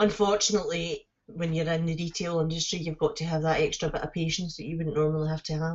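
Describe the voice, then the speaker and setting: In a Scottish accent, a woman talks at a very fast pace. Her fairly low pitch holds fairly even intonation. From Scotland. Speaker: live streamer. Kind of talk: casual chat.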